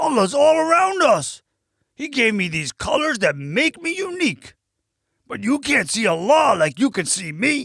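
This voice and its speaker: A high-pitched, put-on character voice with very wide pitch swings on a very clean recording with a silent background. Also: moderate pace. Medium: read story.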